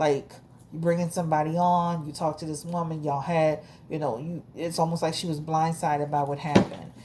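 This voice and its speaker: A woman speaks at a fairly quick pace in a very deep, low pitch, somewhat breathy, with a dark, mellow tone and monotone, flat intonation. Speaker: tarot reader. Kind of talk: tarot reading monologue. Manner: halting, self-correcting; casual, conversational.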